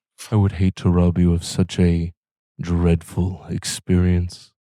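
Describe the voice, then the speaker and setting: A man speaks in a put-on character voice, very deep and low, with a flat, monotone delivery. The pace is fairly slow, and the recording is very clean with a silent background. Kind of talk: formal, archaic. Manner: menacing, theatrical.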